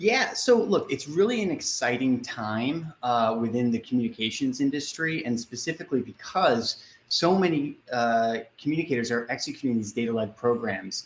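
A man with an American accent and a plain, everyday voice, medium in pitch with ordinary pitch variation and hardly any pauses. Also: moderate pace. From US Northeast, Boston. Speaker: communications agency executive. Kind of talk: interview.

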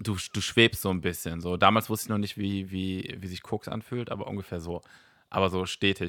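A bright, sharp tone at a moderate pace, monotone and flat in intonation, on a very clean recording with a silent background. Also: man, very deep, low pitch for a man. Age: 40s. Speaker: stand-up comedian and former startup founder. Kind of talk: casual chat.

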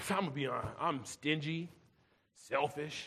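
Speaking at a fairly quick pace, a man uses a raised, projected voice with a bright, sharp tone. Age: 40s. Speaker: pastor. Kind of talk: sermon.

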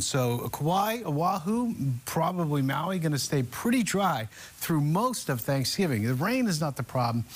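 Somewhat breathy and fairly high in pitch, a man speaks at a moderate pace with lively intonation. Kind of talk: morning weather forecast. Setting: studio. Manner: casual, conversational.

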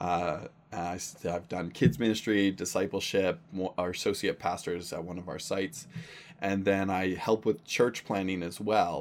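A man's very deep, low voice with a Western Canadian accent, ordinary pitch variation and a moderate pace. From Canada, Surrey, British Columbia. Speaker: pastor. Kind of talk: casual chat.

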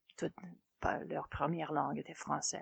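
A woman's voice, dry and close with no echo, over a quiet background. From Saskatchewan, Canada (Fransaskois farm community). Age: 50s. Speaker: francophone community member. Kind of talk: personal testimony interview. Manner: halting, many fillers and repetitions.

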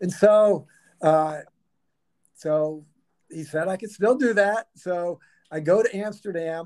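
At a very slow pace, a man speaks in a high pitch with ordinary pitch variation, long, frequent pauses and big swings in loudness. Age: old. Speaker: marathoner. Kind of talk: storytelling interview.

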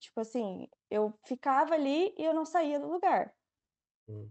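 A woman speaks at a fairly slow pace and a high pitch, with lively intonation. Her tone is dark and mellow, and the sound is dry and close with no echo. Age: 20s. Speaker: medical student. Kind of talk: casual interview.

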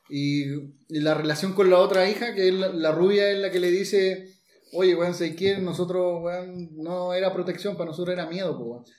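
Audible room echo around a man talking at a moderate pace, high in pitch. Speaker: podcast host. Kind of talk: casual chat. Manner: animated.

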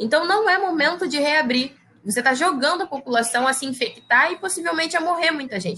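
A woman speaks at a fairly quick pace in a raised, projected voice. Her pitch is high, her tone bright and sharp, and her intonation lively. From Brazil, Baixada Fluminense, Rio de Janeiro. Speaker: biologist and researcher. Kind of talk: interview.

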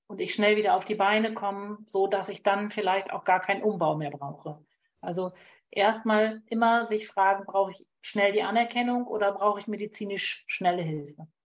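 A woman speaks at a moderate pace in a normal speaking voice, medium in pitch with fairly even intonation. Her loudness swings widely. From Lower Saxony, northern Germany. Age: 50s. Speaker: naturopath and homeopath. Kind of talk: advice in call-in show.

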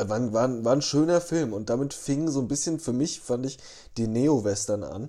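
Over a silent background in a very clean recording, a man with a dark, mellow tone speaks at a moderate pace and medium pitch with ordinary pitch variation. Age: 30s. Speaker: podcast co-host. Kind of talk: casual chat.

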